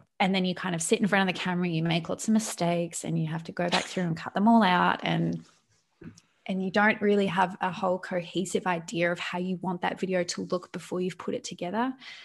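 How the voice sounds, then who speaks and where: Speaking very fast with fairly even intonation, a woman has a medium pitch and a somewhat breathy sound. The background is quiet. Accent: Australian. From Australia. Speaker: YouTuber. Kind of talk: casual chat.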